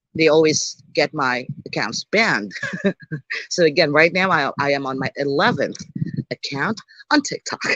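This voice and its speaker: The tone is animated at a moderate pace. Long, frequent pauses recur throughout. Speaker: livestreamer. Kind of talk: casual live stream chat. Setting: live stream.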